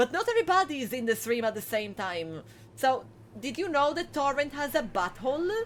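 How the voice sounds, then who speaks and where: With an Italian accent, a woman speaks at a fairly quick pace in a high pitch with very wide swings, over noticeable background noise. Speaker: video game streamer. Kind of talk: live gameplay commentary. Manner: animated.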